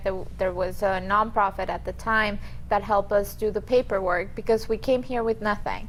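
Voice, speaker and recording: With a Colombian accent, a woman speaks at a medium pitch in a flat, monotone intonation. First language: Spanish. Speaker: immigration attorney. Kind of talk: interview.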